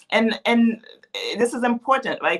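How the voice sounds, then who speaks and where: Here a woman talks with a Haitian accent. She keeps a moderate pace. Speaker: policy advocate and author. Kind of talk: interview conversation.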